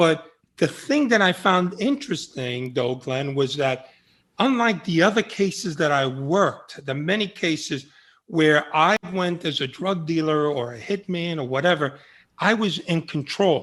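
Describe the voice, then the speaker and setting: A man speaks at a fairly slow pace in a high pitch. His intonation is lively, and the background is quiet. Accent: New York. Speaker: former undercover FBI agent. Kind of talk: interview conversation. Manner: animated.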